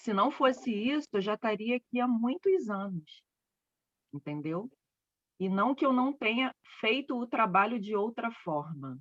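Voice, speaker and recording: A loud woman's voice, fairly high in pitch with very wide pitch swings, fairly slow with long, frequent pauses, dry and close with no echo. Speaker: spiritual therapist. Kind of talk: casual chat.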